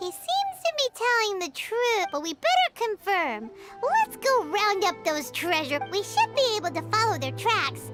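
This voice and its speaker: Clear music plays behind a put-on character voice at an extremely high pitch, delivered at a moderate pace with hardly any pauses. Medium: video game. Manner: brisk, lively.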